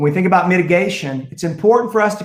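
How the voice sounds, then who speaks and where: A man with a high pitch and an American accent. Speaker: school district superintendent. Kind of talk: public board meeting presentation.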